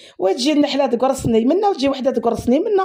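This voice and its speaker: Her voice is high in pitch with a dark, mellow tone and lively intonation. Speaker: cook, food vlogger. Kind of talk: casual chat. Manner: animated.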